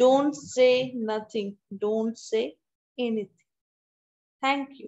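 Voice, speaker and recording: A woman at a very slow pace with ordinary pitch variation, over a quiet background. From India. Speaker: college English teacher. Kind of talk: online lecture. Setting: video call. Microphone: video call.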